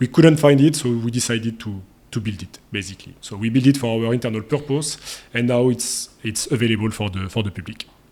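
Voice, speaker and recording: Speaking with a French accent, a man at a medium pitch moves at a fairly quick pace, his tone dark and mellow and his loudness swinging widely. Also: ordinary pitch variation. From France. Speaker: SEO agency founder. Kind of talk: interview. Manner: halting, many fillers.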